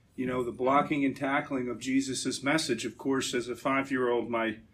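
A man talks at a moderate pace. His medium-pitched delivery is a normal speaking voice. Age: 50s. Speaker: Navy veteran and energy businessman giving a church talk. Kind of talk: talk at a church gathering.

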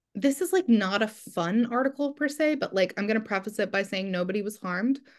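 This woman speaks in a normal speaking voice with an American accent, her pitch fairly high and its variation ordinary, over a quiet background. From New Jersey. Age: 30s. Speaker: journalist and copywriter. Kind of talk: interview.

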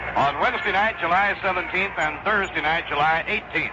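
A man with a high pitch talks with fairly even intonation over noticeable background noise. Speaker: radio baseball play-by-play announcer. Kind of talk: live radio baseball play-by-play, calling pitches and plays between scores and stats. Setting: radio broadcast booth at the ballpark. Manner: courteous, old-school broadcast politeness.

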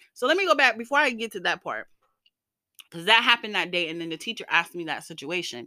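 An animated woman's voice, fairly high-pitched, with lively intonation and a bright, sharp tone, on a very clean recording against a silent background. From US South. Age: 30s. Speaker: podcast host. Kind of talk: casual monologue.

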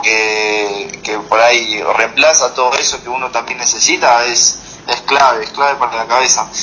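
Noticeable background noise sits behind a man's voice. He speaks at a moderate pace in a medium pitch with fairly even intonation. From Argentina. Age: 20s. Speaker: professional MMA fighter. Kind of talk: interview.

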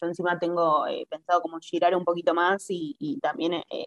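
An ordinary speaking voice from a woman, fairly low in pitch, at a moderate pace with fairly even intonation and a dry, close sound with no echo. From Argentina. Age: 20s. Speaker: traveler living abroad. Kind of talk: casual interview chat.

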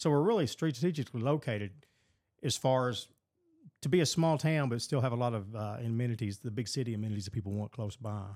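A man with a Kentucky accent at a very fast pace, medium pitch and ordinary pitch variation, in a very clean recording with a silent background. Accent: Kentucky Southern American. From Western Kentucky. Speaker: mayor. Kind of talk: casual interview.

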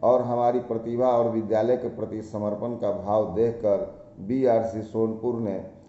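With fairly even intonation at a medium pitch, a man is heard against noticeable background noise. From India, Bihar (Saran district). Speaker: school teacher. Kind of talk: prepared autobiographical talk. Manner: formal.

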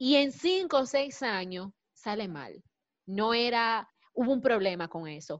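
This woman's pitch swings very widely. Her loudness also rises and drops in big swings. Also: fairly high pitch for a woman, fairly slow pace. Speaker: recent marketing graduate. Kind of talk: panel discussion.

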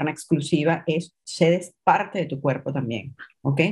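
This is a normal speaking voice. Its pitch varies in an ordinary way. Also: woman. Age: 40s. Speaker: image coach. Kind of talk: interview.

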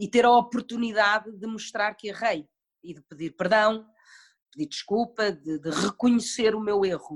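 An ordinary speaking voice from a woman, fairly high in pitch, with ordinary pitch variation, a moderate pace and big swings in loudness. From Portugal, early childhood in Madrid. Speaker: actress. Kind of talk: casual interview.

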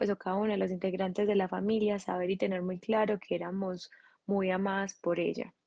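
A flat, monotone intonation with a Colombian Paisa accent. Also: woman. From Colombia, Medellín. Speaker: architect and craft entrepreneur. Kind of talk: interview testimony. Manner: halting.

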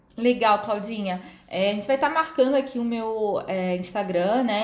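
Noticeable background noise accompanies this woman. Her voice is fairly high, with ordinary pitch variation. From Rio de Janeiro, Brazil. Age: 30s. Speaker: psychologist. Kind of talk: podcast interview, explanatory. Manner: hesitant, many fillers.

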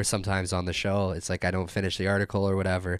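A man with a Canadian accent at a very fast pace, in a very clean recording with a silent background. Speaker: podcast host. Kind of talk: solo political commentary monologue. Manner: halting, many fillers and restarts.

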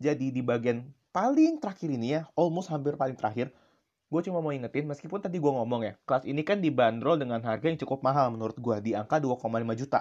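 Against a quiet background, a man talks at a very fast pace in an animated tone with ordinary pitch variation. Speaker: podcaster. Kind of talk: casual solo monologue review. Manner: animated, casual.

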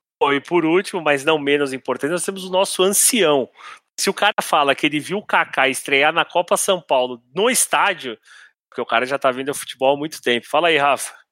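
A man with a fairly high pitch and a bright, sharp tone talks at a fairly quick pace with ordinary pitch variation, in a dry, close sound with no echo. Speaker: podcast host, journalist. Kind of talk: casual football discussion podcast.

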